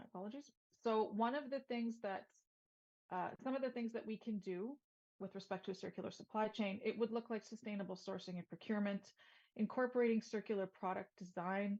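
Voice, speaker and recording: Somewhat breathy and fairly high-pitched, a woman with a Canadian accent talks at a fairly quick pace with fairly even intonation. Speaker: sustainability consultant. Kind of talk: webinar presentation. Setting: virtual event. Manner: fast.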